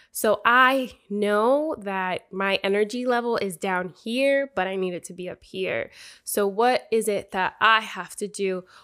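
A woman's bright, sharp, animated voice with big swings in loudness and hardly any pauses, in a very clean recording with a silent background. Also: medium pitch for a woman, ordinary pitch variation, fairly slow pace. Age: 20s. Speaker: motivational podcast host. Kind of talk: motivational monologue.

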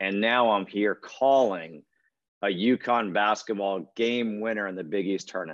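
With an American accent, a man uses a plain, everyday voice, speaking at a moderate pace with ordinary pitch variation. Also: fairly low pitch for a man. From Connecticut, US. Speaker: play-by-play announcer. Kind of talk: interview.

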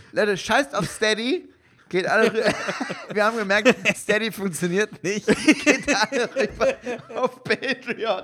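At a fairly slow pace, a man with a high pitch and ordinary pitch variation talks with long, frequent pauses. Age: 30s. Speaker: podcast co-host and comedian. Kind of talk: casual chat. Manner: halting.

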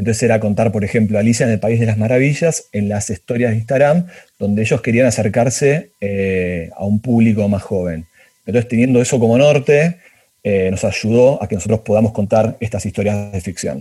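A man's dark, mellow tone comes across somewhat breathy. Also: medium pitch for a man, ordinary pitch variation, fairly quick pace. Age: 40s. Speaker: project creator. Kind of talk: casual interview. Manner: halting, many repetitions.

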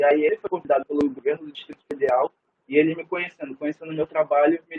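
A man's fairly high voice, very fast, with fairly even intonation. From Rio de Janeiro state, Niterói. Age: 20s. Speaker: cook. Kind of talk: casual interview.

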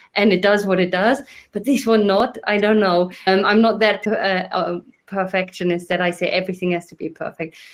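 A woman speaks at a moderate pace with ordinary pitch variation and big swings in loudness. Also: medium pitch for a woman. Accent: non-native. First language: not English. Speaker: podcast host. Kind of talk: casual chat.

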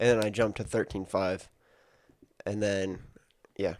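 At a moderate pace, a man uses a plain, everyday voice with a fairly low pitch. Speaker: podcast co-host. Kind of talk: casual chat.

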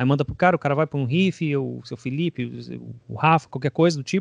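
A man speaks at a fairly quick pace in an ordinary speaking voice, his pitch fairly high with ordinary variation, the sound dry and close with no echo over a quiet background. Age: 30s. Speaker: drummer. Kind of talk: casual interview.

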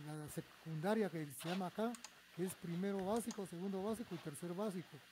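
A man with a Guatemalan accent speaks at a moderate pace in a high, dark and mellow voice, his pitch moving in an ordinary way. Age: 70s. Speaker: electronics technician. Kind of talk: interview.

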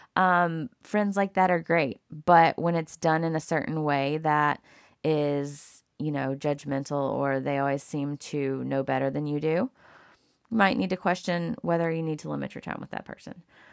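A woman with a Southern US accent and a very deep, low pitch, at a moderate pace with ordinary pitch variation, on a very clean recording with a silent background. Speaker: podcast host. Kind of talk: solo monologue. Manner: casual, many fillers.

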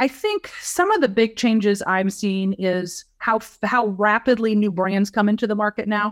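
A woman's fairly high voice with an American accent, fairly even intonation, a moderate pace and hardly any pauses. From central Illinois. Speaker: agriculture consultant. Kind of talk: interview conversation.

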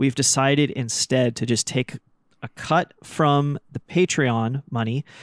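With a normal speaking voice, a man talks at medium pitch with ordinary pitch variation, the sound dry and close with no echo. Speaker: woodworker and podcast host. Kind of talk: casual chat. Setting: remote recording from woodshop. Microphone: new microphone.

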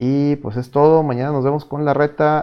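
This man speaks with a Mexican accent. His pace is moderate. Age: 30s. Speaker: podcast host. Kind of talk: casual chat. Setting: virtual studio.

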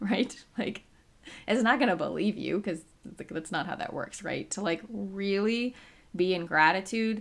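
Her intonation is lively. The woman's voice has vocal fry. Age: 30s. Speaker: chronic pain specialist and podcast host. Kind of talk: solo educational podcast talk.

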